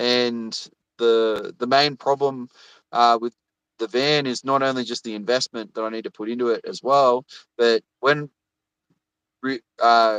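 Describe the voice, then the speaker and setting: Fairly slow, monotone speech with flat intonation and long, frequent pauses in an Australian accent, dry and close with no echo over a quiet background. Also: man, medium pitch for a man. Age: 30s. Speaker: YouTuber. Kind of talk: casual chat. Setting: livestream video call. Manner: halting, many fillers and repetitions.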